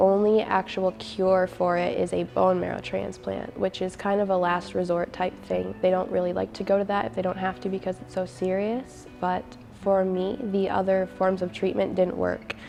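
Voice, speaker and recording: A woman is talking at a moderate pace. Noticeable background noise can be heard behind her. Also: hardly any pauses. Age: young. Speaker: college student sharing illness story. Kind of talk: personal testimony interview.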